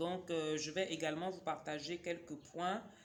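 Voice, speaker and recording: At a fairly slow pace, a woman with a fairly low pitch talks with fairly even intonation amid audible room echo. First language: a Cameroonian local language (speaking French). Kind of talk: casual book review vlog. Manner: hesitant, many fillers.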